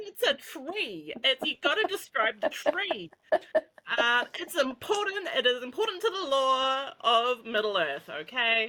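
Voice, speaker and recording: A woman speaks in a raised, projected voice at a high pitch with a bright, sharp tone. Her pitch swings very widely, and her pace is fairly slow. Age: 20s. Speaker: podcast co-host, nurse. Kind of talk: casual chat.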